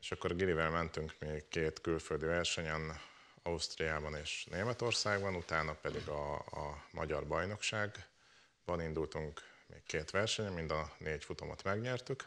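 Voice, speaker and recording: The pace is fairly slow, with ordinary pitch variation. The tone is bright and sharp. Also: man, very deep, low pitch for a man. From Hungary, Mátra region; Hungary. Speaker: rally co-driver; talk show guest. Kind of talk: talk show interview. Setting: studio. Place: studio. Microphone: lapel.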